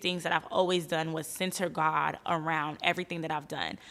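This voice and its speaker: A woman talks at a very fast pace in an animated tone. Her voice is fairly low-pitched, with a bright, sharp tone. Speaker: podcast host. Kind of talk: casual monologue. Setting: studio.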